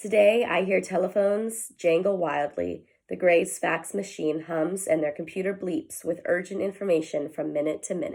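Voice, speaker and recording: Using a put-on character voice, a woman speaks at a moderate pace. Her voice is raspy and fairly low in pitch. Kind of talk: children's read-aloud. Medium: read story. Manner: slow, gentle.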